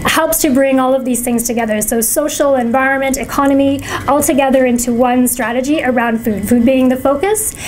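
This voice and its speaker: High-pitched and fairly quick, a woman talks with hardly any pauses, very even loudness and ordinary pitch variation. Her voice carries audible room echo over noticeable background noise. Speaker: food policy council presenter. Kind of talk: presentation. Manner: fast.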